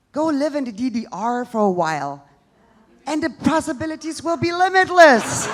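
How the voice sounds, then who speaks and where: A high-pitched woman with a German accent, lively intonation and a moderate pace. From East Germany. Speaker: social entrepreneur, stand-up comedian. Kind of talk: live stand-up comedy set.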